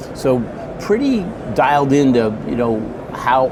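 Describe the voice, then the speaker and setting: A man with an American accent, plus audible room echo and noticeable background noise. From USA. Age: 60s. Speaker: boat company executive. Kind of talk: interview. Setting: conference event. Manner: halting, many fillers.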